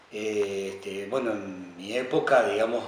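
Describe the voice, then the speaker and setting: Noticeable background noise and audible room echo surround a man talking at a fairly slow pace. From Argentina, Córdoba province. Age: 60s. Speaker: war veteran. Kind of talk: testimony. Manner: halting.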